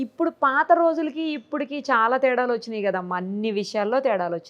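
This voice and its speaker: A woman talks at a fairly high pitch. Her pitch swings very widely and her loudness shifts a lot. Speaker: interviewer. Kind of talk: interview questions.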